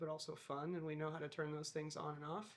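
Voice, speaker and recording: A woman's very deep, low voice with a US Midwestern accent. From US Midwest, Iowa. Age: 30s. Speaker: balloon crew member and pilot. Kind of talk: documentary interview.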